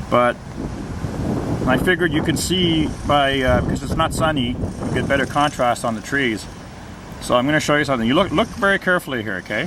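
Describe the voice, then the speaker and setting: A fairly quick pace against noticeable background noise. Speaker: amateur video blogger. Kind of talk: casual narrated walkthrough video. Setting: filming out a window, outdoors. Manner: loud.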